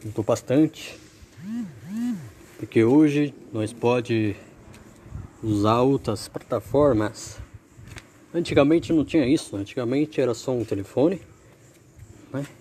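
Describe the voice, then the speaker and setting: With lively intonation, a man of medium pitch talks at a fairly slow pace, leaving long, frequent pauses. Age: 20s. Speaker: amateur podcaster. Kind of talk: practice podcast monologue. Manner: repetitive filler "né".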